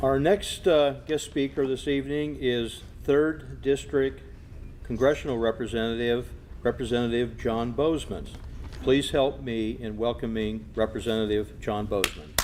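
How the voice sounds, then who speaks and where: This man has an ordinary speaking voice. His pitch is medium, with ordinary pitch variation. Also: moderate pace. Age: 60s. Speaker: master of ceremonies. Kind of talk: ceremony speech.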